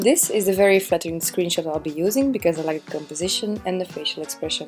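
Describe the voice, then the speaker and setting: Music plays in the background as a woman with a non-native accent speaks at a medium pitch with lively intonation. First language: not English. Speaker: amateur oil painter. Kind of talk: painting tutorial voiceover.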